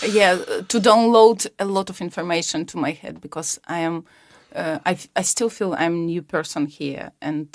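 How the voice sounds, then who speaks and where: A woman speaks at a moderate pace with a Ukrainian accent. The recording is very clean, with a silent background. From Ukraine. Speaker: public health founder. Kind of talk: interview. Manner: halting, many fillers.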